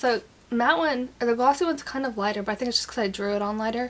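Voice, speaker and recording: A woman speaks very fast at a fairly high pitch, with fairly even intonation. There is noticeable background noise. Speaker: beauty vlogger. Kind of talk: product review. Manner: casual, filler-heavy.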